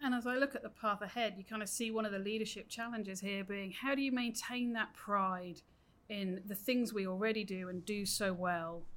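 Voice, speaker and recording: A woman speaks with a British accent at a medium pitch. Her pace is fairly quick and her intonation fairly even. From UK. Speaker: senior education official. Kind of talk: interview.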